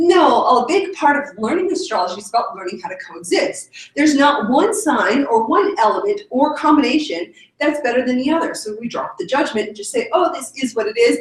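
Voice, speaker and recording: Her pitch is high and sweeps through very wide swings. This woman speaks at a fairly quick pace with big swings in loudness. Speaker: yoga and astrology instructor. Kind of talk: lecture. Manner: fast.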